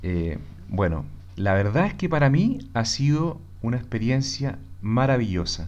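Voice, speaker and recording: Audible room echo surrounds a man of medium pitch who talks fairly slowly, his pitch swinging very widely. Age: 40s. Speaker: commercial engineer, host's husband. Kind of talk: casual conversation.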